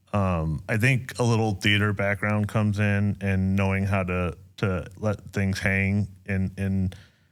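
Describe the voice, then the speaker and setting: Fairly slow, monotone delivery with flat intonation and very even loudness, on a very clean recording with a silent background. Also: man, fairly low pitch for a man. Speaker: pastor. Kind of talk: casual chat. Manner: slow, with pauses.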